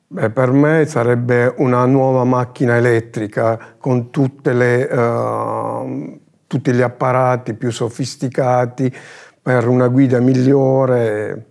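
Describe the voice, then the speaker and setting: Over a quiet background, a man with medium pitch speaks at a very slow pace, with monotone, flat intonation and very even loudness. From Bari, southern Italy; Italy. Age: 60s. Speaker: application support employee. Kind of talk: corporate interview. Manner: halting. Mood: calm, friendly. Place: studio. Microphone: lapel.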